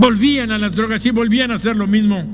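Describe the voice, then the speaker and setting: Over music in the background, a man speaks in a high pitch with fairly even intonation and audible room echo. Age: 70s. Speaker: pastor. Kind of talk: sermon.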